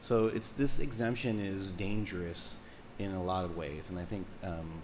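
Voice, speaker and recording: With audible room echo, a man speaks at a moderate pace in a very deep, low pitch with ordinary pitch variation. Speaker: coastal commission member. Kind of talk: public hearing remarks. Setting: public hearing room. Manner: loud; halting, many restarts.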